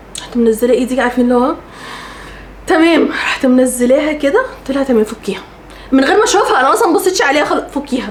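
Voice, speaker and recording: Amid noticeable background noise, a woman speaks at a very fast pace in an animated tone, with a high pitch and very wide pitch swings. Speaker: lifestyle vlogger. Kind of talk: storytelling vlog.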